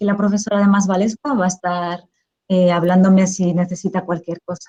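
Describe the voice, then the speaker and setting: A woman speaks at a fairly quick pace in a medium pitch, somewhat breathy. Her tone is dark and mellow, her intonation monotone and flat. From Spain. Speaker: professor, teacher trainer. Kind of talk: lecture.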